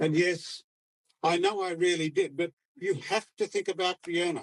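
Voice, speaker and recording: A man's high pitch with ordinary pitch variation, in a dry, close sound with no echo. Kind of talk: poetry reading. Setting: outdoors.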